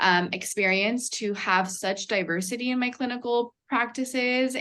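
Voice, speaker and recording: A woman is speaking. She has a Spanish accent. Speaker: nurse practitioner student or alumna. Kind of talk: panel discussion.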